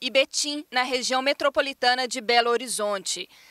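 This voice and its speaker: Using a raised, projected voice, a woman talks in a high pitch with a bright, sharp tone and fairly even intonation, the sound dry and close with no echo. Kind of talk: news reading. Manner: formal, steady and measured, with clear, even delivery; neutral, informative tone with few emotional shifts.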